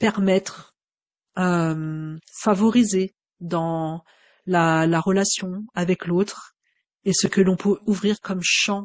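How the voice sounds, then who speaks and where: Her pace is very slow. The woman speaks at a medium pitch with fairly even intonation. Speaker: Gestalt psychotherapist. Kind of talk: unscripted personal reflection. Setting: home microphone recording. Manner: hesitant, many fillers.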